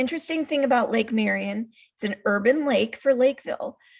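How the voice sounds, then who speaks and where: This woman has an American accent. Her voice is somewhat breathy, with ordinary pitch variation. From US Midwest, city of Chicago. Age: 60s. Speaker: author and gifted-education teacher. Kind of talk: interview.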